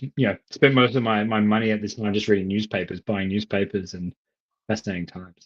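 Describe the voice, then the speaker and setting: A man speaks with an Australian accent, his fairly low voice keeping a fairly even intonation. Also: fairly quick pace. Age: 30s. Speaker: economist. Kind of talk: casual discussion.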